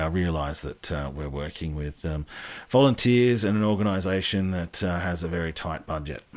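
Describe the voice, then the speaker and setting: In a Sydney accent, a man talks at a fairly quick pace with ordinary pitch variation. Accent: some Sydney. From Australia, Western Sydney. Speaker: railway history YouTuber, live stream host. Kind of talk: casual live stream chat. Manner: hesitant, many ums and uhs.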